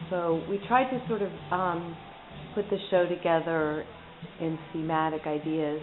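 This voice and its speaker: Quiet speech comes through noticeable background noise at a fairly slow pace with ordinary pitch variation. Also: woman, fairly low pitch for a woman. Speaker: painter. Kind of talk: casual chat. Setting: artist studio.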